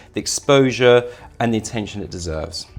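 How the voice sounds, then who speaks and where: A man in a British accent at a fairly quick pace. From UK, raised abroad (Italy, Kenya, Zimbabwe, Dubai). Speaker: real estate sales director. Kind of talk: interview.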